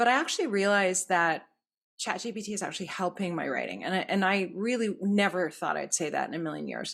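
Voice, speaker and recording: Delivered at a very fast pace with vocal fry, the speech comes through a very clean recording with a silent background. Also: woman, medium pitch for a woman, ordinary pitch variation. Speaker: podcast host. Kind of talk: casual interview chat. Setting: podcast recording.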